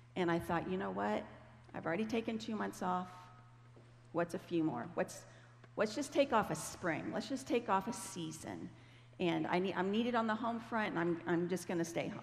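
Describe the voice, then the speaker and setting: With an American accent, a woman talks at a moderate pace and a fairly low pitch, with vocal fry. Her pitch swings very widely. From Ohio, US Midwest. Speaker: Bible teacher. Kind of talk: sermon. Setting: church stage with audience. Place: stage.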